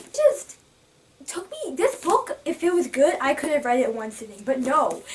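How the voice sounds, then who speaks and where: A woman's animated tone over noticeable background noise. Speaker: book vlogger. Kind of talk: casual vlog review. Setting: filming on camera. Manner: fast.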